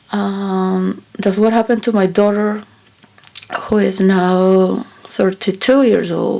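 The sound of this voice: Speaking slowly, a woman with a medium-pitched voice uses a dark, mellow tone with vocal fry and little pitch movement.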